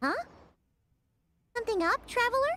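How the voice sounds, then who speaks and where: A female-sounding voice puts on a squeaky character voice at an extremely high pitch. It moves at a fairly quick pace. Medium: video game. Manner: chatty, excitable.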